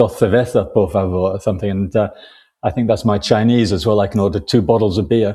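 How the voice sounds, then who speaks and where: A man with a northern English accent, fairly low pitch, ordinary pitch variation, a dark, mellow, somewhat breathy tone and a very fast pace, against a quiet background. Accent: northern English short A's. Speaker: crime novelist, retired economist. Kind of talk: podcast interview. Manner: relaxed, with frequent fillers.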